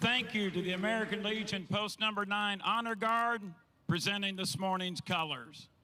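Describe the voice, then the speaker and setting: A raised, projected voice holds very even loudness and fairly even intonation at a moderate pace. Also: man, high pitch for a man. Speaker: race announcer. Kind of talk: ceremony announcing.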